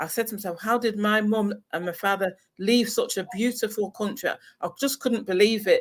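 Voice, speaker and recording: A woman with an English accent speaks at a moderate pace and fairly high pitch with ordinary pitch variation, in a very clean recording with a silent background. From northern England, Salford. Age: 60s. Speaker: retired expat. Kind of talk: interview. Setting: livestream.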